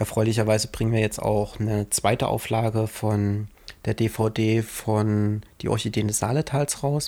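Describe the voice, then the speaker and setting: A man with a fairly low, dark, mellow voice speaks at a fairly slow pace in a monotone, flat intonation, with very even loudness. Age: 20s. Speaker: filmmaker and podcast co-host. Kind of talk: casual chat.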